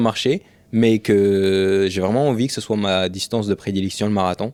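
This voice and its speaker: Fairly low in pitch, a man with an unremarkable speaking voice talks at a moderate pace with fairly even intonation. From France, Rouen. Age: 20s. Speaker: professional runner and content creator. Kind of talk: casual podcast interview.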